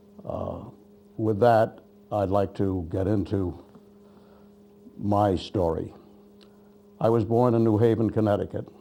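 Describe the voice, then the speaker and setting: At a fairly slow pace, a man with a New England accent speaks in a fairly low pitch with fairly even intonation. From western Massachusetts, Holyoke. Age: 80s+. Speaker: war veteran. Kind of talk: oral history testimony. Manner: halting.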